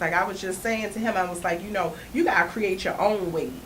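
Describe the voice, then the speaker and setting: With audible room echo and noticeable background noise, a woman talks at a medium pitch with ordinary pitch variation. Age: 30s. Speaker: comedian. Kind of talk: casual chat. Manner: conversational, frequent 'you know what I'm saying'.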